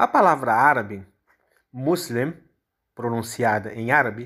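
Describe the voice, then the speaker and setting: On a very clean recording with a silent background, a man talks at a fairly slow pace with lively intonation. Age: 50s. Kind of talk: explanatory talk.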